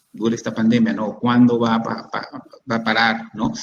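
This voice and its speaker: A man is speaking at a moderate pace. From Peru. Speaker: psychiatrist. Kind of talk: expert Q&A answering audience questions. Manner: halting, many repetitions and false starts.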